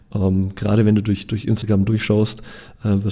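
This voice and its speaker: A man's fairly low voice has a dark, mellow tone and is somewhat breathy. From Franconia, Germany (Nuremberg). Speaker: photographer and photography trainer. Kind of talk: casual interview. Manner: halting with frequent word repetitions.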